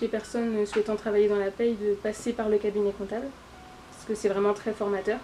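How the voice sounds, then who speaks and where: Her intonation is monotone and flat as a woman talks at a moderate pace in a fairly high pitch. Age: 30s. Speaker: payroll specialist, former student. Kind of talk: interview. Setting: workplace. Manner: hesitant, many filler sounds.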